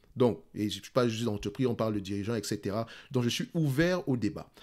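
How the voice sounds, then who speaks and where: A man speaks at a fairly quick pace in a medium pitch with a Cameroonian accent, his intonation lively. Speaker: investing youtuber. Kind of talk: casual talk to camera. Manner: fast.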